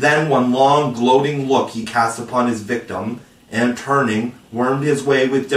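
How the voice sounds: Here is a natural reading voice. Its intonation stays fairly even.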